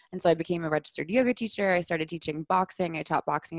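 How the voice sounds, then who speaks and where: Over a quiet background, a woman with a fairly low voice speaks at a very fast pace. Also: dry, close sound with no echo. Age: 20s. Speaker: somatic sexologist. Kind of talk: casual chat.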